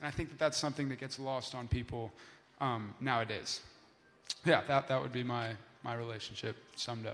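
A man with a Californian accent speaks fairly quickly at medium pitch, his intonation fairly even. He takes long, frequent pauses, and his loudness swings widely. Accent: Californian American. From US West Coast, Los Angeles. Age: young. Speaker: university student. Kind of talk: panel discussion. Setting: stage with audience.

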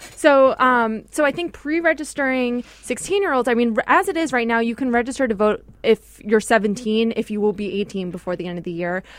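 A woman with an American accent has an unremarkable speaking voice at a fairly high pitch. She talks at a fairly quick pace with hardly any pauses. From New York. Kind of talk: casual chat.

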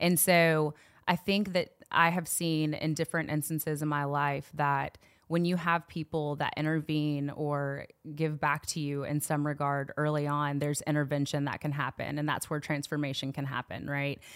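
This woman has a very deep, low pitch and a slight Southern US accent, speaking at a moderate pace. Her intonation is monotone and flat in a very clean recording with a silent background. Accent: little Southern twang. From Knoxville, Tennessee. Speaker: youth ministry worker. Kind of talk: casual interview.

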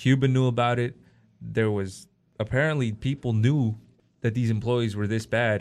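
Over a quiet background, a man with an American accent talks at a moderate pace in a medium pitch with fairly even intonation. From Oakland suburbs, California. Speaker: podcast co-host. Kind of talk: casual chat.

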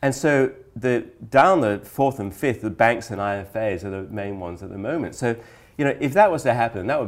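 An ordinary speaking voice. The pace is fairly quick. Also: man. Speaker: podcast host and financial publisher editor. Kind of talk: casual business chat podcast.

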